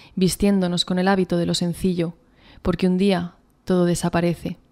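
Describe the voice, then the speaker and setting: A woman talks fairly quickly, and the background stays quiet. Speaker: poet and author. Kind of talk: interview answers, then reading own poetry aloud. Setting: interview. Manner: halting, repeats words while thinking. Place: studio. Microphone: studio mic.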